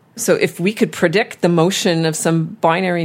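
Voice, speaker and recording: A woman's fairly low voice with vocal fry, in a Canadian accent, at a fairly slow pace. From Montreal. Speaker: astrophysics professor. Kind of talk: interview.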